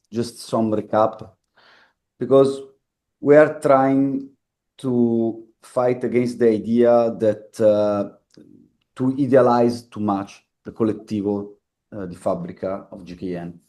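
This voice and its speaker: A man's dark, mellow voice at medium pitch with an Italian accent, fairly slow, big swings in loudness, ordinary pitch variation, and long, frequent pauses. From Italy. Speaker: factory workers' collective organiser. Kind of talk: talk at a public meeting. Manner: halting, searching for words.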